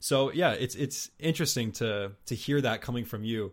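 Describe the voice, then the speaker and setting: On a very clean recording with a silent background, a man speaks at a medium pitch with an eastern Canadian accent. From New Brunswick, Canada. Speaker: podcast host. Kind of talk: casual interview chat. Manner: casual, self-deprecating, laughs often.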